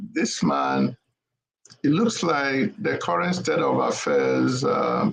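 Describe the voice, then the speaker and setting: A man speaks at a very slow pace in a Nigerian accent. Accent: Igbo Nigerian. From Nigeria (Igbo). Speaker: panelist on political talk show. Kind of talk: political panel discussion. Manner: hesitant, many fillers.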